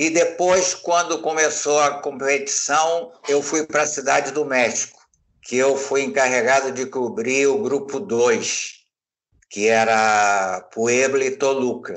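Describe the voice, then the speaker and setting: Speaking at a very slow pace, a man uses a fairly high voice with ordinary pitch variation. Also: very even loudness. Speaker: retired sports journalist. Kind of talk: interview reminiscence.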